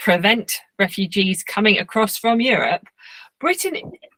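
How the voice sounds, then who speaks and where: With an English accent, a woman speaks at medium pitch in a bright, sharp tone, the sound dry and close with no echo. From England. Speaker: cartoonist. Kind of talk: lecture.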